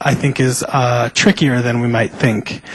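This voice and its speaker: There is noticeable background noise as a man with a medium-pitched voice speaks at a moderate pace. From US (raised from toddler; born in Mexico). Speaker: panelist, student. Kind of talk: panel discussion. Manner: halting, many fillers.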